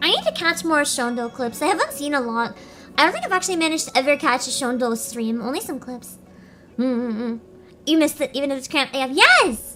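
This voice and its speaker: Over noticeable background noise, a woman talks at a fairly quick pace in a raised, projected voice with a high pitch and lively intonation. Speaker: vtuber streamer. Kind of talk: casual livestream Q&A. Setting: sound-treated booth. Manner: fast. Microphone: echo-sensitive mic, now in soundproof box.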